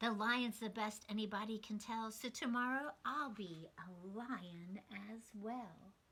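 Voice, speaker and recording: Using a put-on character voice, a woman talks fairly slowly at a fairly high pitch, with hardly any pauses. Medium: read story.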